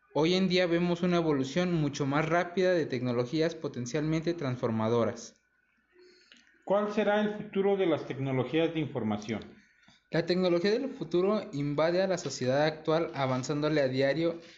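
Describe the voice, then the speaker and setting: A man with a plain, everyday voice at a moderate pace, fairly high in pitch, with lively intonation and very even loudness. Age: 20s. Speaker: university student. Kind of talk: school presentation reading.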